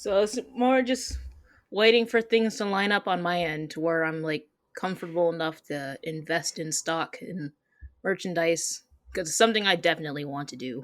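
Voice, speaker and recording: A plain, everyday voice, from a woman with an American accent. She keeps a moderate pace and lively intonation. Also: fairly low pitch for a woman, very clean recording, silent background. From Michigan. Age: 20s. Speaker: comic artist. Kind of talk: interview.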